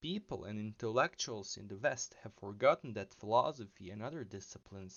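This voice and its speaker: Lively intonation marks this man's medium-pitched voice, delivered with a non-native accent. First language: not English. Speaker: philosophy video essayist. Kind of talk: video essay narration.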